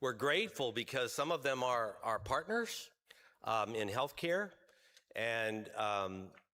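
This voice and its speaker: Very slow in pace, the voice has a bright, sharp tone, lively intonation and very even loudness. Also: man, medium pitch for a man. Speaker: health insurance executive, award recipient. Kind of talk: award acceptance speech. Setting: stage at a luncheon event. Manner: hesitant, many fillers.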